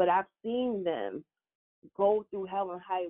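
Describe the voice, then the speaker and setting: A woman uses an unremarkable speaking voice, her pitch varying in an ordinary way as she talks at a moderate speed. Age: 30s. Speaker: media host and interviewer. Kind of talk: interview.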